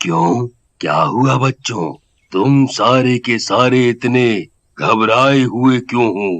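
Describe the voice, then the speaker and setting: Raspy and very slow, this is a cartoonish character voice. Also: man, medium pitch for a man. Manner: calm, fatherly.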